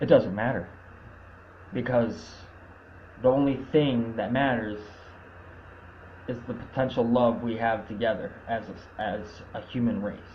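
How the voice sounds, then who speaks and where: A man speaks at a fairly slow pace with long, frequent pauses and fairly even intonation. Room echo is audible. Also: medium pitch for a man. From Canada. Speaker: activist livestreamer. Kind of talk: casual monologue. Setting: live video stream. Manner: stuttering.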